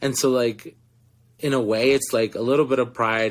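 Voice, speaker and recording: A man with a Spanish accent at a fairly quick pace, on a very clean recording with a silent background. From Florida. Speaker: actor. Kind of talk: interview. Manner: animated storytelling.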